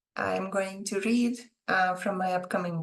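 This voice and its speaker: With a non-native accent, a woman at a medium pitch speaks at a fairly slow pace with fairly even intonation. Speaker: author. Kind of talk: casual talk to camera.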